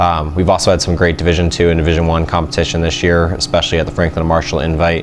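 Over noticeable background noise, a man with a very deep, low voice talks at a very fast pace in a monotone, flat way. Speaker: swim coach. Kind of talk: interview answer.

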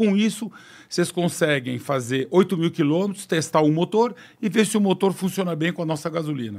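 Against a quiet background, a man speaks at a high pitch and a fairly quick pace. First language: French (speaking Portuguese). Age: 60s. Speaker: business executive; guest. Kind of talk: podcast interview. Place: studio. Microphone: studio mic.

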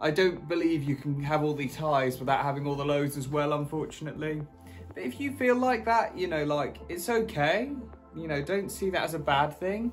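A man talks at a moderate speed while faint music sits in the background. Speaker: cycling vlogger. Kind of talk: casual vlog chat. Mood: reflective, supportive. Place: home room. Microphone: phone near.

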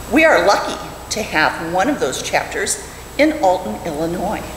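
A woman's voice comes with audible room echo and light background noise. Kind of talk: prepared talk in a service. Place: church. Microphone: podium.

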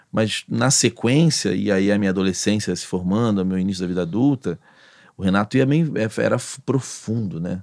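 A man with a fairly low voice speaks at a moderate pace. His intonation is lively, and the background is quiet. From Rio de Janeiro. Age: 40s. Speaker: podcast host. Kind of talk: casual interview. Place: studio. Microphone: studio mic.

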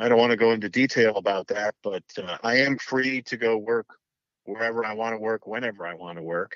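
This man has an ordinary speaking voice at medium pitch, with ordinary pitch variation and a moderate pace. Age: 60s. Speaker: former TV sports anchor. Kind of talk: interview. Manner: jokey.

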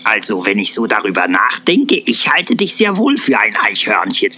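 With clear background noise behind him, a man speaks in a put-on character voice. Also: moderate pace. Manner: ponderous, musing, wryly puzzled.

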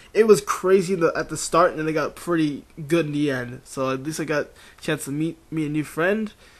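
A man at a fairly quick pace. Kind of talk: casual talk to camera.

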